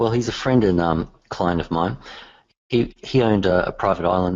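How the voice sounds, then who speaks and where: Speaking at a moderate pace with an Australian accent, a man uses a very deep, low pitch and ordinary pitch variation. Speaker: software developer. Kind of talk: casual chat. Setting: call.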